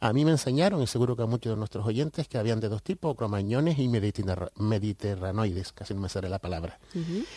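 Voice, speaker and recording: Fairly quick with hardly any pauses, a man speaks at a medium pitch in a dark, mellow, somewhat breathy tone with lively intonation, recorded dry and close with no echo. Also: quiet background. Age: 50s. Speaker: writer and researcher of Canarian culture. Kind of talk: radio interview.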